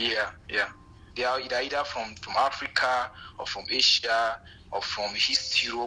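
A man's medium-pitched voice, bright and sharp in tone, with fairly even intonation and a moderate pace. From Nigeria. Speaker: migrant farm worker. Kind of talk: casual interview. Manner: halting.

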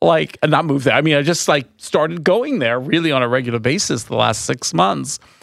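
A man with an American accent speaks at a fairly quick pace and fairly high pitch, animated in tone with lively intonation and vocal fry. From New York, Long Island. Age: 60s. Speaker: wine tour owner and nonprofit director. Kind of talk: interview.

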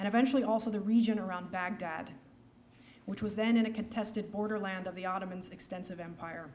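A somewhat breathy woman's voice in an American accent, fairly high in pitch, with ordinary pitch variation. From United States. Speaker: historian. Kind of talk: lecture. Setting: stage with audience.

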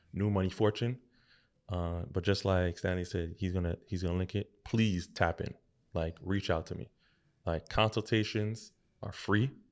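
Very deep and low in pitch, a man's voice moves at a moderate pace with fairly even intonation. The recording is very clean, with a silent background. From Haitian family. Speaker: financial advisor. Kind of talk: casual interview.

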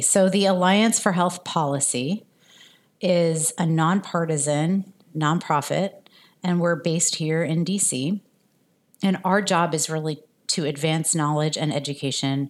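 A woman with an American accent talks in an ordinary speaking voice, fairly low in pitch, at a fairly slow pace with ordinary pitch variation. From New Jersey suburbs. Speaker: health policy nonprofit leader. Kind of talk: interview.

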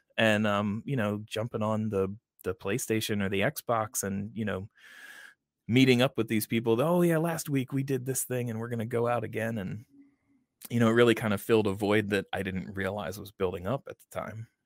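Recorded very cleanly with a silent background and a dry, close sound with no echo, a man with a plain, everyday voice speaks fairly quickly at a fairly low pitch with ordinary pitch variation. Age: 40s. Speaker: gaming podcaster and father. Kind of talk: casual chat.

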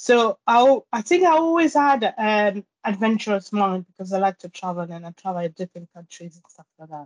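In a French accent, a woman talks at a fairly high pitch and a moderate pace. The sound is dry and close, with no echo. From Guadeloupe. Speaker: climber. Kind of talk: interview. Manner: halting.

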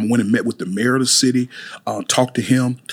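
A man with a Mississippi accent talks at medium pitch with ordinary pitch variation. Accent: Southern US (Mississippi). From US South, Mississippi (Amory). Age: 40s. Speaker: chef and pastor. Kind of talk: interview. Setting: studio.

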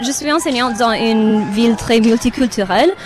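A woman talks with high pitch and lively intonation while noticeable background noise fills the recording. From Romania. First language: not French (speaking French). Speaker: festival visitor, teacher. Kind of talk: live radio interview.

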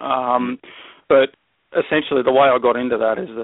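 This man speaks in an Australian accent at a medium pitch. His intonation is fairly even. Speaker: wildlife educator, snake handler. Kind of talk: casual interview chat. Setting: phone call.

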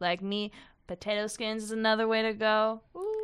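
A woman speaks in a fairly high pitch at a moderate pace. Her intonation is monotone and flat. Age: 20s. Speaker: student journalist. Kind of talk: casual chat.

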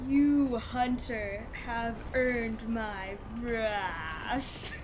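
Put-on character voice, fairly high-pitched, at a very slow pace, over loud background noise. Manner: wrathful, commanding.

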